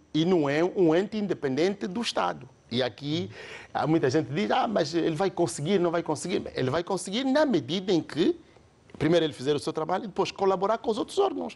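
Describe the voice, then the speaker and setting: Talking at a fairly quick pace, a man with a high voice swings very widely in pitch. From Angola, outside Luanda. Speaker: political commentator. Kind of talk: TV panel discussion. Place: studio. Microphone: lapel.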